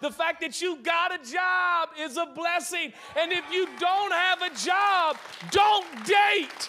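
A man shouts in an American accent. His tone is animated. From Seattle, US Pacific Northwest. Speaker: guest pastor. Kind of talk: sermon. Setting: church with live audience.

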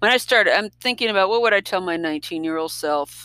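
The recording is dry and close with no echo. It features a woman talking. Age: 60s. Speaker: podcast host. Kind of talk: personal monologue. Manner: casual, with many fillers.

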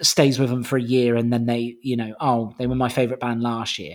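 Here a man talks in a normal speaking voice. His pace is moderate. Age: 30s. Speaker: music podcast co-host. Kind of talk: casual chat.

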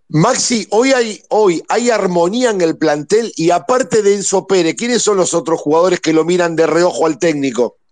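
A man speaks in a high pitch with lively intonation and hardly any pauses. His pace is moderate and his loudness very even. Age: 50s. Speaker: football fan caller. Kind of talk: casual chat.

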